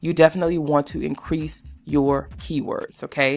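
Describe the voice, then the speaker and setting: A woman's very deep, low voice with vocal fry and ordinary pitch variation, on a very clean recording with a silent background. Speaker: YouTuber teaching self-publishing. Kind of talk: tutorial. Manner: fast.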